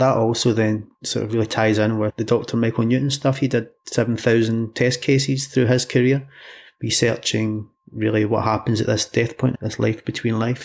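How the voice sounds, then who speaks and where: A man speaks at a moderate pace with a Scottish accent, his intonation flat and monotone. His loudness stays very even on a very clean recording with a silent background. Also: medium pitch for a man. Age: 40s. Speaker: hypnotherapist. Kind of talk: interview.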